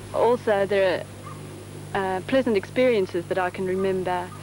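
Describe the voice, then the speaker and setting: Noticeable background noise sits behind a woman speaking at a medium pitch. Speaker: immigrant family member in documentary. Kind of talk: documentary interview. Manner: halting, with many fillers.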